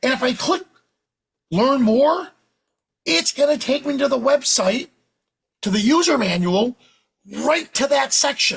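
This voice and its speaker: A man with a New York accent speaks in an extremely high voice with lively intonation. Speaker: professional photographer and educator. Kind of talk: software tutorial demo. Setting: live webinar. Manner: fast; animated.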